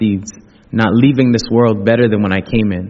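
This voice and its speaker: A man's plain, everyday voice, medium in pitch, with fairly even intonation. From Ghana and Canada. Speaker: event host and spoken word poet. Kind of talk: spoken word poetry and interview. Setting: church with audience.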